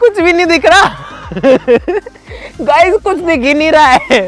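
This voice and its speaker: Over crowd noise in the background, a man speaks at an extremely high pitch with lively intonation. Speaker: YouTuber doing science experiments. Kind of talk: casual vlog commentary. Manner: animated.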